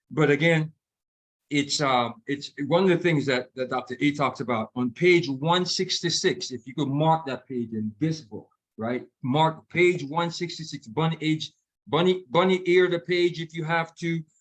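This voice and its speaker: A fairly high male voice with usual pitch movement. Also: fairly slow pace. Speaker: health coach. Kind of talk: online community book club talk. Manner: loud; energetic, enthusiastic.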